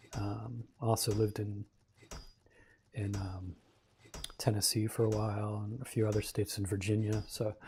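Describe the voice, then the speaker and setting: A moderate pace in an American accent, broken by long, frequent pauses. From US South, Louisiana. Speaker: gaming livestreamer. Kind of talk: casual gameplay commentary. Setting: livestream. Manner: casual with fillers and hesitations.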